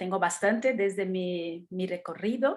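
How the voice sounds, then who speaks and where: A woman speaks at a medium pitch. She has a Brazilian accent. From Brazil, São Paulo. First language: Portuguese (speaking Spanish). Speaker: art educator. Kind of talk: talk in online meeting. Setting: video call.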